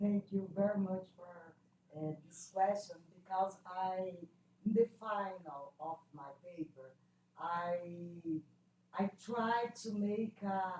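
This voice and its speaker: A woman with a non-native accent speaks very slowly, with long, frequent pauses and big swings in loudness, at a medium pitch with ordinary variation, in a somewhat breathy, dark, mellow tone. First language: Portuguese. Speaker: classics scholar presenting a paper. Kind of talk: academic Q&A discussion. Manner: halting, hesitant.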